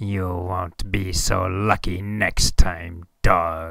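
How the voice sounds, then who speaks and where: In a put-on character voice, a man growls with a very deep, low pitch and a menacing tone at a very slow pace. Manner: snarling, menacing.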